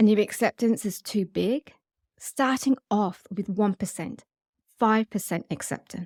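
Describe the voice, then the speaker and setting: This is an ordinary speaking voice, a woman's, fairly high in pitch with ordinary pitch variation at a fairly slow pace. The recording is very clean with a silent background and a dry, close sound with no echo. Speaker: sex hypnotherapist and podcast host. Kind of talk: guided meditation podcast talk. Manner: calm, soothing, gentle.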